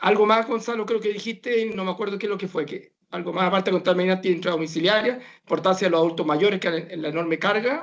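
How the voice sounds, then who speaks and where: The speech runs at a very fast pace with hardly any pauses. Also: man, high pitch for a man, ordinary pitch variation. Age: 60s. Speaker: professor of medicine. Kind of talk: talk Q&A answer.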